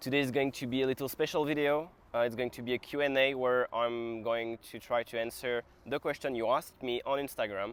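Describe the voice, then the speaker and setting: Fairly quick, fairly evenly intoned speech from a man at medium pitch, with a French accent. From France. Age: 20s. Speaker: calisthenics athlete and vlogger. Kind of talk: casual Q&A talk to camera.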